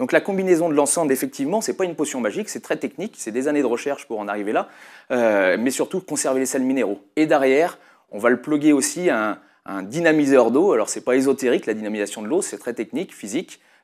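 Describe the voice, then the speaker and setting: Fairly high-pitched for a man, he talks at a fairly quick pace with lively intonation. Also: very clean recording, silent background. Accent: Lyonnais. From Lyon area, France (Brindas). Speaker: company founder, entrepreneur. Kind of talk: interview. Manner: hesitant, many fillers.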